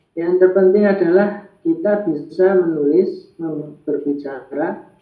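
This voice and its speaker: Against audible room echo, a man speaks very slowly at a high pitch with fairly even intonation. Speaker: Arabic language teacher. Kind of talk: online class discussion. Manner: hesitant with fillers.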